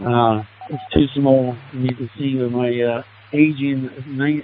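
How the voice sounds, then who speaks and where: Over noticeable background noise, a man at a medium pitch talks very slowly with fairly even intonation and long, frequent pauses. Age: 70s. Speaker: amateur radio operator. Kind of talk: radio contact chat. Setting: amateur radio link.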